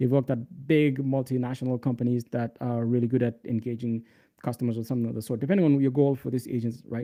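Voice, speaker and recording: A man with a non-native accent, medium pitch and fairly even intonation, talking at a very fast pace. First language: not English. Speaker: developer relations lead and livestream tutor. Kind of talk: live coding tutorial. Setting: livestream. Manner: casual, filler-heavy.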